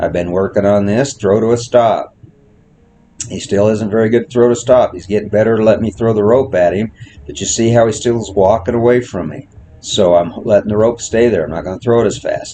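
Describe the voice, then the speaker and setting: Through noticeable background noise, a man speaks at a fairly quick pace in a medium pitch with fairly even intonation. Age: old. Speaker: horse trainer. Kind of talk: tutorial.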